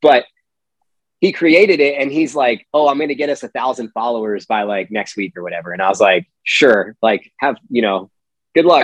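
A man with a normal speaking voice and an American accent talks at a moderate pace, his medium pitch moving with lively intonation in a dry, close sound with no echo. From Pennsylvania. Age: 30s. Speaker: Marine veteran and golf company founder. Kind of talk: casual interview chat.

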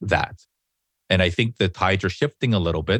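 A man with a General American accent and a very deep, low pitch, in a dry, close sound with no echo and a quiet background. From Los Angeles, US (moved from Korea as a child). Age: 40s. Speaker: podcaster and creator business owner. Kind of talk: interview conversation. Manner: halting, many fillers.

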